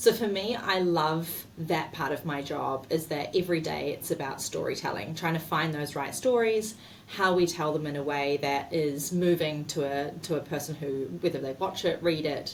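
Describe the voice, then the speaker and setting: Against noticeable background noise, a woman with a New Zealand accent and a very deep, low voice speaks at a moderate pace with ordinary pitch variation. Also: hardly any pauses. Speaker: marketing executive. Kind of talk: interview.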